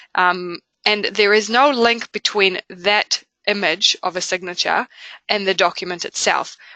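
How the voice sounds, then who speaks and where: With a New Zealand accent, a woman speaks at a medium pitch and a fairly slow pace, her intonation fairly even. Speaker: software company presenter. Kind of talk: webinar product presentation. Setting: online webinar. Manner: hesitant, many fillers.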